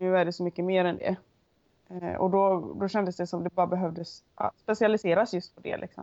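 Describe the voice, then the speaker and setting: A woman talks at a medium pitch with a dark, mellow tone. Her intonation stays monotone and flat. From western Sweden, Onsala, Kungsbacka. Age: 20s. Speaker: Icelandic horse rider. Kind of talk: interview. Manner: hesitant, many fillers.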